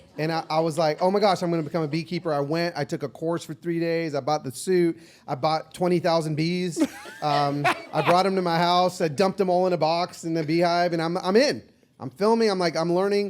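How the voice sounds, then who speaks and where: A man's high-pitched, animated voice over noticeable background noise. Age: 50s. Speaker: social media personality. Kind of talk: casual chat. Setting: stage with audience.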